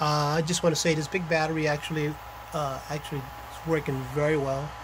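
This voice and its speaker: The delivery is monotone and flat at a moderate pace, with noticeable background noise. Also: man. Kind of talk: casual vlog chat. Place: home room. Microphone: phone near.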